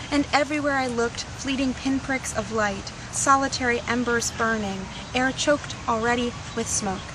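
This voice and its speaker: A woman's high-pitched voice at a moderate pace, with fairly even intonation and noticeable background noise. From US, partly childhood in Tunisia. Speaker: poet. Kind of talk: poetry reading; interview.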